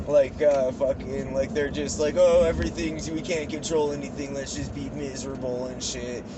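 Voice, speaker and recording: Recorded with audible room echo and noticeable background noise, a man speaks at a moderate pace with hardly any pauses and big swings in loudness. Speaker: vlogger. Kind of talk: casual chat.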